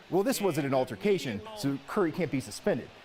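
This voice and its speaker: Noticeable background noise runs under the clip. A man talks at a fairly quick pace. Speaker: sports anchor. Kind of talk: sports news anchor delivery with humor.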